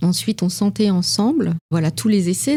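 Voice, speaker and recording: The voice has a dark, mellow tone and is somewhat breathy, with ordinary pitch variation at a moderate pace. The recording is very clean, with a silent background. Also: woman. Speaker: perfumer. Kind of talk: interview answer. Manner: calm, composed.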